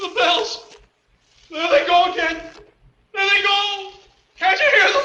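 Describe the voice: A man puts on a character voice at an extremely high pitch, with a bright, sharp tone and lively intonation. He talks slowly amid strong room echo.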